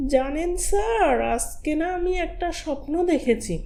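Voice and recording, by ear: Cartoonish character voice, high-pitched and fairly slow, over noticeable background noise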